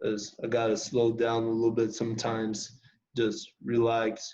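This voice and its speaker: Speaking slowly-ish with a Spanish accent, a man of medium pitch has a dark, mellow tone and monotone, flat intonation. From Costa Rica (Heredia). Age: young. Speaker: college basketball player. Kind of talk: interview.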